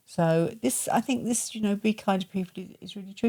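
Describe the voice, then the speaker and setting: A woman talks very fast in a somewhat breathy voice of medium pitch with ordinary pitch variation. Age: 70s. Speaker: podcast co-host and aesthetics clinic owner. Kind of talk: casual chat.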